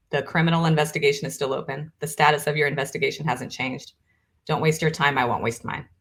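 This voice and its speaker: A woman speaks somewhat breathily at a very deep, low pitch. Her pace is fairly quick. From Brazil. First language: Portuguese. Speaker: author and business co-founder. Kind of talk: testimony. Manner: animated.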